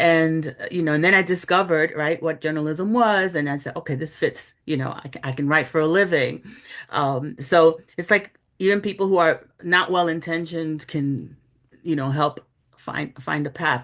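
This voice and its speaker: Against a quiet background, a woman with a slight Bronx accent speaks at a fairly low pitch and a moderate pace, with ordinary pitch variation. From New York City, the Bronx. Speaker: journalist and author. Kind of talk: interview. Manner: conversational, with fillers.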